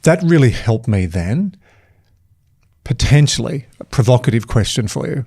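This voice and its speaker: A man with an Australian accent speaks at medium pitch and a moderate pace, his tone dark and mellow and somewhat breathy. His intonation is lively, broken by long, frequent pauses. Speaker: performance coach, keynote speaker. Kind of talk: casual interview conversation.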